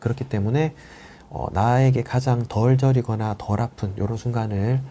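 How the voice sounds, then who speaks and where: A man speaks at a medium pitch, somewhat breathy. His tone is dark and mellow. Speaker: orthopedic spine doctor. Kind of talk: live Q&A lecture. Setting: live stream. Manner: fast.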